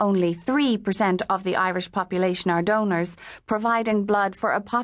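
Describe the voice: Someone reads a text aloud. It is plain reading aloud.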